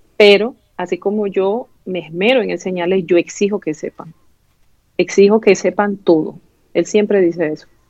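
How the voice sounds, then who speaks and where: In an eastern Venezuelan accent, a woman speaks at medium pitch and a moderate pace, her intonation fairly even. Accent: eastern Venezuelan (El Tigre). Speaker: doctor. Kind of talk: interview.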